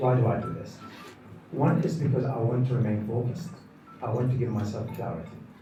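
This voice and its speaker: A man with a medium pitch speaks at a very fast pace, with ordinary pitch variation and long, frequent pauses. Noticeable background noise and audible room echo fill the recording. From Iraq. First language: Arabic. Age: 60s. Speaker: professor. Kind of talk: speech.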